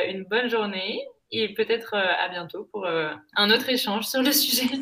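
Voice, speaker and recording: A woman with a normal speaking voice talks at a fairly slow pace. Her pitch is fairly high and her intonation lively. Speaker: podcast host. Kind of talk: interview. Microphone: laptop microphone, poor sound.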